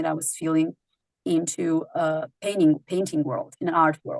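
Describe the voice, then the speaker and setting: A woman's voice with a non-native accent and fairly even intonation, dry and close with no echo, against a quiet background. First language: not English. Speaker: singer-songwriter. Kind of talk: interview. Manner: halting.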